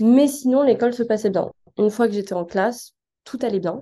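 A woman with a dark, mellow tone talks at a moderate pace with ordinary pitch variation. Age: 20s. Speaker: design student. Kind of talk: testimony. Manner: halting.

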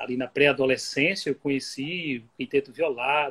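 This man talks at a moderate pace in a fairly high, somewhat breathy voice. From Bahia, Brazil. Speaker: music researcher and author. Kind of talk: interview on an Instagram live. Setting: video call.

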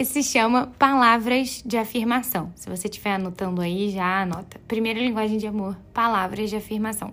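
A woman with a plain, everyday voice and fairly high pitch speaks at a moderate pace. She leaves hardly any pauses. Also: ordinary pitch variation. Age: 20s. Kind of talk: devotional teaching talk. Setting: home bedroom. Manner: casual, conversational.

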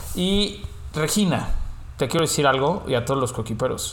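A man talks at a fairly slow pace. Audible room echo surrounds the voice. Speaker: podcast host. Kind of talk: casual chat.

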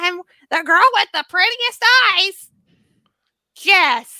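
Putting on a squeaky character voice, a woman speaks very slowly at an extremely high pitch.

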